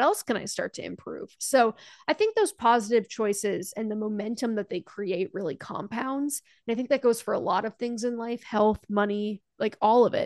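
A woman speaks at a fairly quick pace with a fairly high pitch. It is a plain, everyday voice with ordinary pitch variation. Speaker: personal finance creator. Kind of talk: casual interview chat. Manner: articulate, conversational, laughs often.

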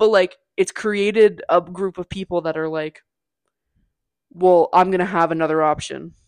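This is a woman with a normal speaking voice, fairly low in pitch, with fairly even intonation at a moderate pace. The sound is dry and close, with no echo. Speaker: podcast host. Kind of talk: casual chat.

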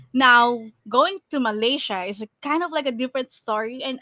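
In a very clean recording with a silent background and a dry, close sound with no echo, a woman speaks in a high pitch with a bright, sharp tone and ordinary pitch variation. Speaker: podcast host. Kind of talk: casual chat.

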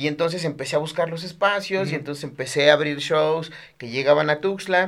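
A man's voice, very cleanly recorded against a silent background. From Mexico, Chiapas. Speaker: comedian. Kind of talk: casual chat. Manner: animated.

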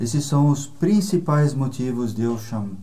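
A somewhat breathy man's voice, fairly high in pitch, with a dark, mellow tone. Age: 60s. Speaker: guitarist. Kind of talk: casual chat. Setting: home studio.

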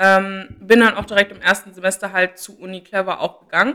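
A woman talks at a moderate pace with a medium pitch and a bright, sharp tone. Her intonation is monotone and flat. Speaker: student consulting association board member. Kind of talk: interview.

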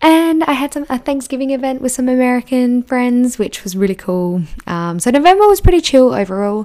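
Over noticeable background noise, a woman talks at a fairly quick pace in an animated tone with a high voice, very wide pitch swings and hardly any pauses. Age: 20s. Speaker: podcast host, manifestation coach. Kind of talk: guided reflection monologue.

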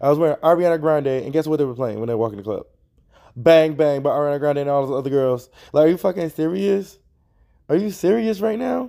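A man talking at a very fast pace with lively intonation. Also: fairly high pitch for a man. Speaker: podcast host. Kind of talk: casual chat. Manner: rambling, chatty, joking.

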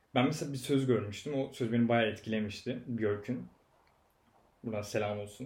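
Audible room echo surrounds a man's somewhat breathy, medium-pitched voice, delivered at a moderate pace with fairly even intonation. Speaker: podcast guest. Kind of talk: casual chat.

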